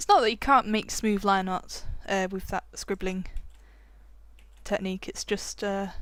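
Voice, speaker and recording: A woman mumbles at a fairly slow pace. Her speech has long, frequent pauses. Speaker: digital art tutorial creator. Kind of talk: tutorial. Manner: mumbling; casual, hesitant with many fillers.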